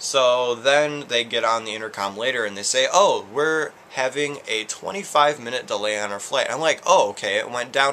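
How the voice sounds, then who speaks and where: A man's fairly quick speech, with ordinary pitch variation, sits over light background noise. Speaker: vlogger. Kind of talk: casual vlog chat. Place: home room.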